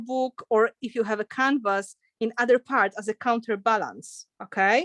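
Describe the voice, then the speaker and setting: A woman with a non-native accent at a fairly slow pace, dry close sound with no echo, and a quiet background. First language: not English. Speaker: art instructor. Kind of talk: live online craft tutorial. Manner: casual, chatty.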